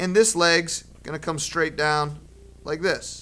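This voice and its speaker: An animated, bright and sharp tone with ordinary pitch variation. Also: man. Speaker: art teacher. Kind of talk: drawing tutorial for children. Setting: classroom with second grade pupils.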